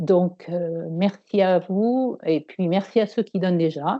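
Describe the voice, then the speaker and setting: The woman speaks very slowly. Her medium-pitched voice shows ordinary pitch variation. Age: 60s. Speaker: patient giving testimony. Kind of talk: testimony. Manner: halting.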